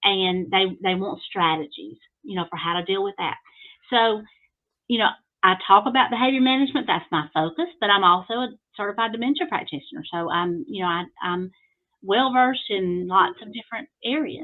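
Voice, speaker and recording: This woman talks at a fairly quick pace with a medium pitch. Her intonation is lively, with big swings in loudness. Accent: Alabama. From US South, Alabama. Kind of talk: podcast interview. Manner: hesitant, many fillers.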